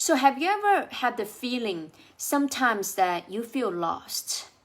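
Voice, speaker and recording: Speaking very slowly, a woman talks with a Chinese accent. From China. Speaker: life coach. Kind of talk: motivational talk to camera.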